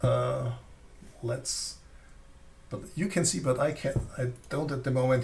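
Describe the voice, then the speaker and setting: A man with a non-native accent speaks fairly slowly in a fairly high, somewhat breathy voice. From Austria. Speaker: flashlight reviewer. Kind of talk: live stream product presentation. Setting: live stream. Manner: halting.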